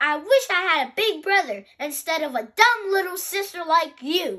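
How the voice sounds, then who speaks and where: A woman speaks in a raised, projected voice at a fairly slow pace. Her tone is bright and sharp. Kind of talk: children's picture book read-aloud.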